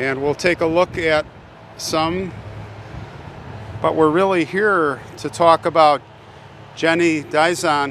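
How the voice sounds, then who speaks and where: Over light background noise, a man speaks at a very slow pace with long, frequent pauses, fairly even intonation and a dry sound with no echo. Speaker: cemetery vlogger. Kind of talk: casual vlog chat. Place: open country. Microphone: phone near.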